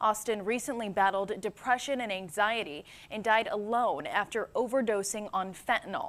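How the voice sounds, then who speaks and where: A woman with an unremarkable speaking voice talks at a moderate pace and a fairly high pitch, with ordinary pitch variation. She hardly pauses, and the recording is very clean with a silent background. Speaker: news anchor and reporter. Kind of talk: TV news anchor delivery.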